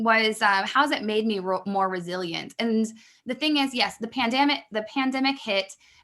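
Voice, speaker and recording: A woman's fairly high pitch with ordinary pitch variation. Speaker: business mentor. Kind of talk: podcast interview. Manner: fast.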